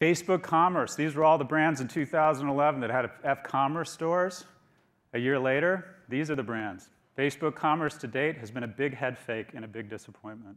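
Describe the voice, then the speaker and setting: Over a silent background on a very clean recording, a man speaks. His pitch is fairly high with ordinary variation. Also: fairly quick pace. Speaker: business professor and conference speaker. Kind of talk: conference keynote presentation. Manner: fast.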